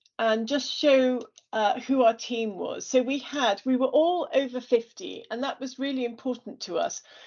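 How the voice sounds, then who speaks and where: A woman with an English accent speaks at a fairly slow pace in a high pitch. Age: 60s. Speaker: business founder. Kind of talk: presentation.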